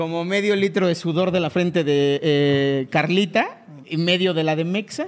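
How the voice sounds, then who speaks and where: With hardly any pauses, a man speaks in a high pitch and fairly even intonation over noticeable background noise. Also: fairly slow pace. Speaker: comedy podcast host. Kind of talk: comedic casual chat.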